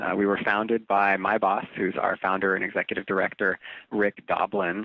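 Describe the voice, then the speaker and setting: Fairly quick delivery from a man with an ordinary speaking voice, pitched on the fairly low side. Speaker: drug research nonprofit spokesperson. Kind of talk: interview conversation.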